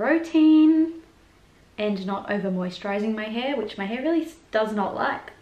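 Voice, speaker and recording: Speaking at a moderate pace with an Australian accent and ordinary pitch variation, the voice carries audible room echo. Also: woman. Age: 20s. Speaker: YouTuber and performer; YouTuber. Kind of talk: casual vlog chat. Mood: warm, chatty, open. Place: home room. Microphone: camera far.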